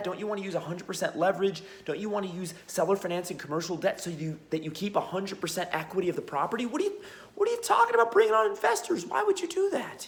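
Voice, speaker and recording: Noticeable background noise surrounds a man speaking at a very fast pace. His pitch is high, with ordinary variation. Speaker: business acquisitions educator. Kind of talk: casual vlog monologue.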